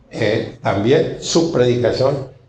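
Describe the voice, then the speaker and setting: A man speaks at a medium pitch, sounding somewhat breathy. His pace is very slow, and audible room echo surrounds him. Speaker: preacher. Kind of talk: sermon.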